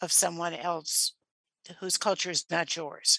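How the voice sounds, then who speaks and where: Speaking at a fairly slow pace, a woman has a bright, sharp tone, recorded dry and close with no echo against a quiet background. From rural Michigan. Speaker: professor and researcher. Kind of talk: radio interview.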